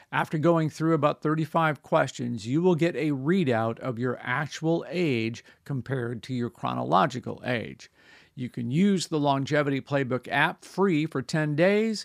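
Fairly high in pitch, a man talks in an unremarkable speaking voice at a moderate pace with ordinary pitch variation. The recording is very clean, with a silent background. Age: 60s. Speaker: health radio host. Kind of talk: radio interview; scripted narration.

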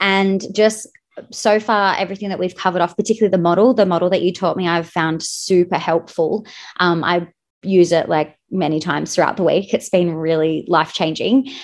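This woman has an unremarkable speaking voice at medium pitch, with fairly even intonation. She speaks at a fairly quick pace over a quiet background. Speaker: wedding planner, coaching client. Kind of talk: casual interview chat.

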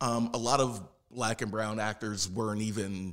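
A man speaks at a moderate pace in an ordinary speaking voice. His pitch sits fairly low, with fairly even intonation. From South Philadelphia, US. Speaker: puppeteer and actor. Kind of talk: interview. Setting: studio.

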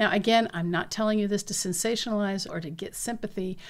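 Delivered at a fairly quick clip, a plain, everyday voice shows ordinary pitch variation. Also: woman. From US Pacific Northwest, southeastern Washington State. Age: 50s. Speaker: podcast host, doctor. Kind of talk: memoir narration.

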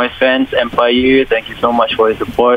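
Against noticeable background noise, a man speaks at medium pitch and a moderate pace. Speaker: singer. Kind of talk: radio interview. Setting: phone call.

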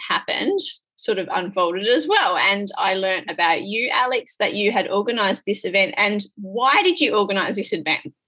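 In an Australian accent, a woman speaks at a moderate pace. Her pitch sits at a medium level. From rural Western Australia. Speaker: podcast host and business mentor. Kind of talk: casual chat. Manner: animated.

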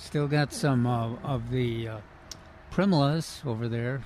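Over noticeable background noise, a man speaks in a medium pitch with fairly even intonation. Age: old. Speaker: horticulture expert, radio co-host. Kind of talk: call-in radio show. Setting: live radio broadcast from a nursery. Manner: halting.

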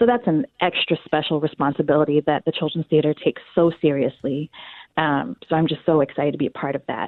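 A woman's very deep, low voice at a very fast pace, with ordinary pitch variation. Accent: American. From US South (North Carolina). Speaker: theater casting director. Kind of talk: interview. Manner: animated.

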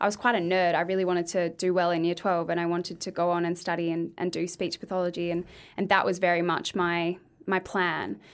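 In a very clean recording with a silent background, a woman with an Australian accent speaks at a fairly quick pace in a monotone, flat intonation. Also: fairly low pitch for a woman. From Australia, Adelaide. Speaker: speech pathologist and former beauty pageant winner. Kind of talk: casual chat.

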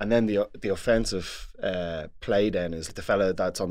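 A man speaks with monotone, flat intonation on a very clean recording with a silent background. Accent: Dublin. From Dublin, Ireland. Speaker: former Gaelic football player, pundit. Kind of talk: casual sports discussion. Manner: halting, repeats words.

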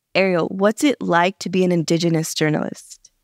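With an American accent and a normal speaking voice, a woman talks at a moderate pace and a fairly low pitch, with ordinary pitch variation, in a very clean recording with a silent background. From Los Angeles, California. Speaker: podcast host. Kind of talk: scripted narration.

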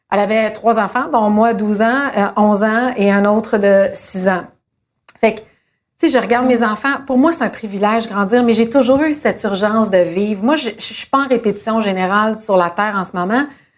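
A woman at a moderate pace, fairly high in pitch, with ordinary pitch variation and a normal speaking voice. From Quebec. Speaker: TV host. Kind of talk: casual chat. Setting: dinner at a home.

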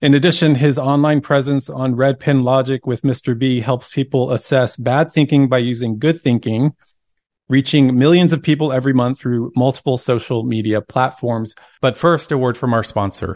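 A man with a normal speaking voice of medium pitch talks at a moderate pace with fairly even intonation, in a dry, close sound with no echo. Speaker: podcast host. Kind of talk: interview chat.

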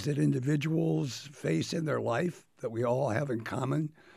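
Vocal fry and very wide pitch swings at a moderate pace, with an American accent, on a very clean recording with a silent background. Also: man. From US Midwest, Iowa (Davenport area). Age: 70s. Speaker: cancer survivor. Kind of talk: personal testimony in a radio interview. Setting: studio.

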